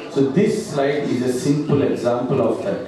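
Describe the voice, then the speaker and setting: A man talks amid light background noise, his voice carrying strong room echo. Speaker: presenter. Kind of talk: business presentation. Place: hall. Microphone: pa.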